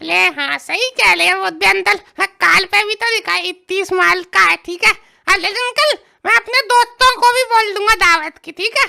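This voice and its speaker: Using a cartoonish character voice at an extremely high pitch, a woman talks at a fairly quick pace in a dry, close sound with no echo. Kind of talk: desi comic cartoon dialogue. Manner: eager, wheedling, easygoing.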